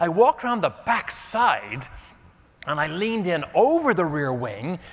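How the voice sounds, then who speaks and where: A man with an Irish accent speaks at a moderate pace. His pitch swings very widely, and there is noticeable background noise. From Ireland. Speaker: motivational keynote speaker. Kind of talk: keynote storytelling.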